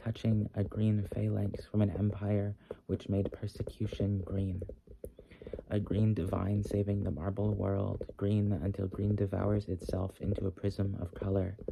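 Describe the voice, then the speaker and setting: Whispering in a gentle tone, a soft-spoken man keeps his loudness very even. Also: fairly slow pace. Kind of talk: slow poetry reading for ASMR. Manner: soft-spoken, gentle, whispery.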